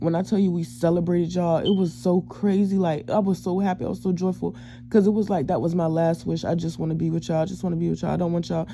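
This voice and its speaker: The speech comes at a very fast pace with hardly any pauses. The words are mumbled. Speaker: self-described psychic and empath. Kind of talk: storytime talk to camera. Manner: mumbling; casual, slangy.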